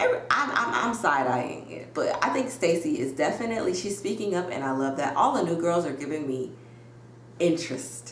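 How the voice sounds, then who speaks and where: Loud and animated, a woman with a fairly low pitch speaks at a fairly quick pace with very wide pitch swings, amid noticeable background noise and audible room echo. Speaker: YouTuber reality TV recapper. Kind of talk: casual recap commentary. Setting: home video recording with ring light.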